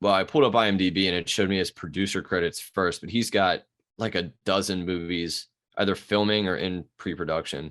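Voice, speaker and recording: Here a man talks with a Baltimore accent and a very deep, low pitch. His intonation stays fairly even. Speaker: podcast co-host. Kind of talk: casual chat. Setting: video call.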